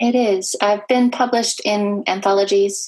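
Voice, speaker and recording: Speaking at a fairly slow pace, a woman with an American accent has a medium pitch and an ordinary speaking voice. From California, US. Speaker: author. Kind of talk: interview.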